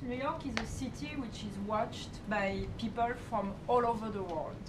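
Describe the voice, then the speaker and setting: Lively intonation from a fairly high-pitched woman over noticeable background noise. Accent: French. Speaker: reporter asking questions at a press briefing. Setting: press briefing room.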